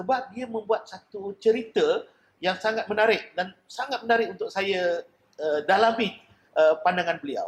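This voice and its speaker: A man's high-pitched voice. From Malaysia, Selangor. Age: 50s. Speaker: painter. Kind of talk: interview. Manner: halting.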